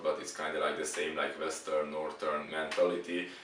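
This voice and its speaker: A man talks with a Hungarian accent. There is audible room echo and noticeable background noise. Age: 20s. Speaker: exchange student. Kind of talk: interview. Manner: halting.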